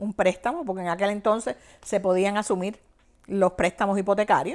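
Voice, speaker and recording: A woman speaks in a Cuban accent. The recording is very clean, with a silent background. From Cuba, Havana province. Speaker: banking executive. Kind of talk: interview, personal life story.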